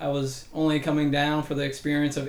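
Heard with audible room echo, a man with an American accent and a fairly high pitch speaks at a fairly quick pace. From Massachusetts. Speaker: physical therapy professor. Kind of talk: interview.

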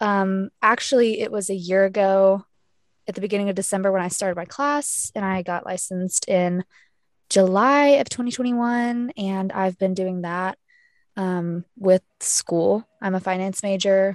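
A woman with an ordinary speaking voice and medium pitch talks at a moderate pace with ordinary pitch variation. The sound is dry and close, with no echo, and the background is quiet. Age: young. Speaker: podcast co-host, real estate agent and student. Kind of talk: casual chat.

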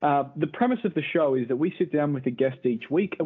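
A man talks at a moderate pace in a plain, everyday voice. His pitch is fairly high and his intonation lively. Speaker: podcast host. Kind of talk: casual chat.

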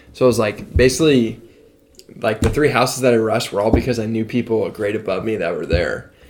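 A man rattles along at a very fast pace, his intonation staying fairly even. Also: medium pitch for a man. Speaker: podcast host, college student. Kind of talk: casual chat. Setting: home studio.

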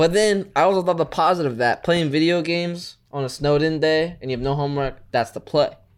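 At a fairly quick pace with hardly any pauses, a man with a fairly high pitch uses an unremarkable speaking voice and ordinary pitch variation. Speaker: podcast co-host. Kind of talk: casual chat.

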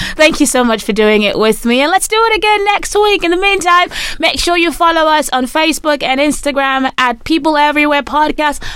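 A woman talks at a fairly quick pace with a high pitch and lively intonation. Her loudness stays very even over noticeable background noise. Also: hardly any pauses. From Nigeria. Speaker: podcast host. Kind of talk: casual chat. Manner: animated.

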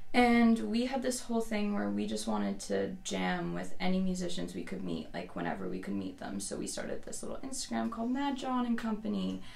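Noticeable background noise sits behind a woman's voice. She talks at a fairly quick pace with hardly any pauses. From Newfoundland, Canada. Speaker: musician and mom. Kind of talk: casual interview conversation. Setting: studio.

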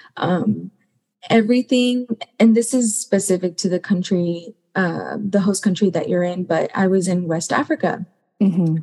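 A woman with an American accent speaks in a somewhat breathy, dark, mellow tone at a medium pitch with ordinary pitch variation. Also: moderate pace. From US, Mexican American family. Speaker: graduate student, former Peace Corps teacher. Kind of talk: panel discussion.

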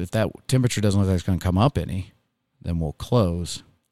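A man with an American accent has a very deep, low pitch and a dark, mellow tone. The very clean recording has a silent background and a dry, close sound with no echo. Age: 40s. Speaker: school superintendent. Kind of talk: interview. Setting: studio.

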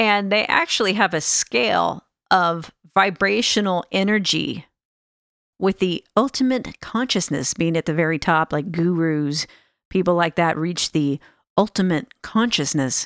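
A woman with a plain, everyday voice, an American accent, a fairly low pitch and lively intonation, at a fairly slow pace, in a dry, close sound with no echo. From Northern California, Sacramento area. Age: 50s. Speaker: podcast host. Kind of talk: solo monologue podcast. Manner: casual, conversational.

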